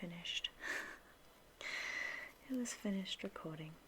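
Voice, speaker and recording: Soft-spoken, a woman talks in an Australian accent at a medium pitch with ordinary pitch variation. Noticeable background noise runs under her voice. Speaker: ASMR creator. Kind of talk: ASMR soft-spoken video.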